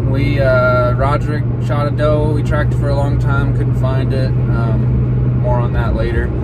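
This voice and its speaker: A man speaks at a very slow pace. Loud background noise runs behind him. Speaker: hunter vlogger. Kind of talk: casual vlog chat. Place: car. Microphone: phone near.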